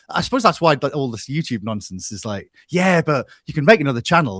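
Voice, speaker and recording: Very fast speech in a Geordie accent, with very wide pitch swings, over a quiet background. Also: man. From northeast England, Newcastle. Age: 40s. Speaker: music analyst and YouTuber. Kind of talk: casual interview chat. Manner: halting, many repetitions.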